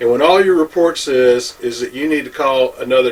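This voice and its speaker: Through noticeable background noise, a man delivers his words at a fairly quick pace. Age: 60s. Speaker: home inspector. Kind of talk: opinion monologue. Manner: animated.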